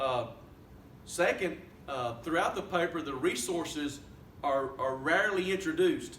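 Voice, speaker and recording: Amid noticeable background noise and audible room echo, a man with a high pitch talks with long, frequent pauses. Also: ordinary pitch variation, moderate pace. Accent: Southern US. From US South. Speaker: student reviewer. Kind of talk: spoken peer review of a paper. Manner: halting, many fillers.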